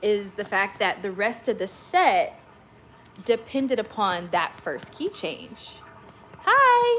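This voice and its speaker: Speaking at a very slow pace in an American accent, a woman with a fairly high pitch is heard over noticeable background noise. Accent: slight country. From Oklahoma. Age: 30s. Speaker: worship leader and channel host. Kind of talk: casual livestream story time.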